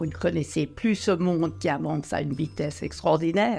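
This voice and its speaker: A woman speaks at a fairly slow pace in a very deep, low pitch while music plays in the background. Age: 80s+. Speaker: retired elected politician. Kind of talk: interview answer.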